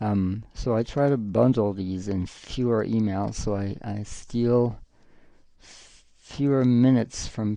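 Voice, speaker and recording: A man with a French accent, a dark, mellow tone, fairly low pitch, fairly even intonation and a fairly slow pace. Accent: non-native, French-accented English. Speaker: live streamer and artist. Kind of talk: casual live-stream chat while drawing. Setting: home live stream with green screen. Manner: halting, with frequent fillers and restarts.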